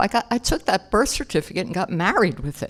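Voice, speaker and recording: An animated, fairly quick American-accented delivery with lively intonation and vocal fry. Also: woman. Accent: Philadelphia accent, shows when excited. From Philadelphia, South Philly. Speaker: AA speaker. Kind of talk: recovery testimony. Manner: conversational, animated.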